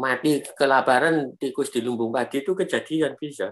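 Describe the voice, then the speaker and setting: Nothing much sounds behind him. The man talks at a moderate pace. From Indonesia. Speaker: biology lecturer. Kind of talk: webinar lecture. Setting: video call. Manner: casual. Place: home room. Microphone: video call.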